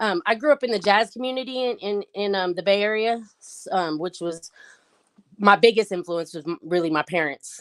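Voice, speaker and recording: A woman speaks in a normal speaking voice with an American accent, lively intonation and a moderate pace. Her loudness swings widely, and the sound is dry and close with no echo. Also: medium pitch for a woman. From US West Coast, San Francisco. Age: 40s. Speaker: rapper. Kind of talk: interview.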